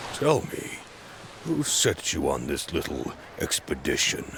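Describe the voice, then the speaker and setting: Over clear background noise, a man performs in a put-on character voice. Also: fairly slow pace. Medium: video game. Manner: severe with a tinge of mockery.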